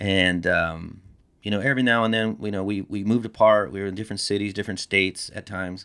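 On a very clean recording with a silent background, a man with an American accent speaks in a normal speaking voice, fairly low in pitch and at a fairly quick pace. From Texas, Corpus Christi. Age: 40s. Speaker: college teacher and jiu-jitsu practitioner. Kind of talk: casual chat.

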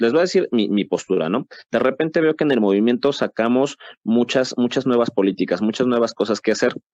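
The speaker has a plain, everyday voice with lively intonation. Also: man, medium pitch for a man, fairly quick pace, very even loudness. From Mexico. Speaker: podcast host. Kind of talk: casual panel discussion.

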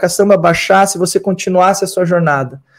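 Very clean and silent in the background, the recording holds a man with a high pitch. He moves at a fairly quick pace with fairly even intonation. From Brazil, Rio Grande do Sul. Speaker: pastor and holistic therapist. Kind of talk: interview conversation.

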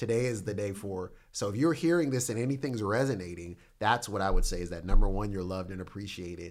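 With hardly any pauses, a man talks at a very fast pace in a fairly low pitch with lively intonation. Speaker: pastor. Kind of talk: casual chat. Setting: studio.

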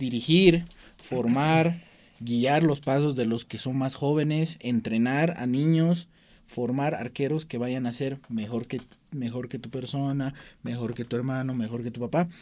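A man speaks at a medium pitch with fairly even intonation and a fairly slow pace. His is an unremarkable speaking voice. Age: young. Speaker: sports show host. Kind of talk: interview.

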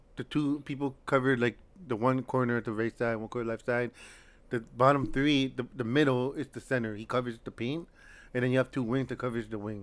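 A man in a plain, everyday voice on a very clean recording with a silent background. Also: medium pitch for a man, fairly even intonation, fairly quick pace. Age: 30s. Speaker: deaf basketball player and barber. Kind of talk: casual chat.

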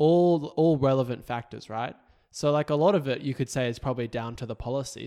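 With an Australian accent and a dark, mellow tone, a man talks at a fairly quick pace on a very clean recording with a silent background. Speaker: political podcast co-host. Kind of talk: casual chat. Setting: recording at co-host's house.

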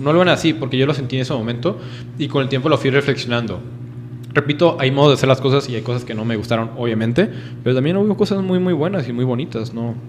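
A man with a northern Mexican accent talks at a very fast pace and a medium pitch. Noticeable background noise sits behind him. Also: ordinary pitch variation. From northern Mexico. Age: 20s. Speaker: law student. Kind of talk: casual chat.

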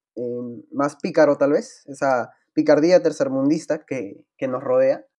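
A man's fairly high voice, dark and mellow, with lively intonation at a very slow pace. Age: 20s. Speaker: student podcast co-host. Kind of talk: casual chat.

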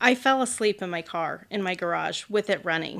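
At a moderate pace comes an unremarkable speaking voice, recorded very cleanly against a silent background. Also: woman. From central Illinois. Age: 40s. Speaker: roller derby athlete. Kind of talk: testimony.

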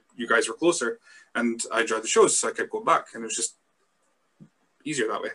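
A man talks at a very fast pace with big swings in loudness and long, frequent pauses. The sound is dry and close, with no echo. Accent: Scottish. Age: 30s. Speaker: wrestling podcast host. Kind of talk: casual chat.

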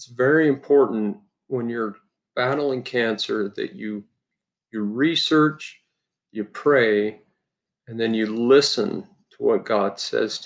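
Spoken at a very slow pace with an American accent, this voice leaves long, frequent pauses. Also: man, medium pitch for a man, ordinary pitch variation. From Utah. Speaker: dentist and cancer patient. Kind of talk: personal testimony.

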